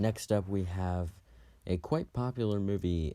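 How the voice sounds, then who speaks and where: A man's dark, mellow tone at a moderate pace with ordinary pitch variation, in a very clean recording with a silent background. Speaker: youtuber film reviewer. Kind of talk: casual monologue review. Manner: halting, stumbling over words.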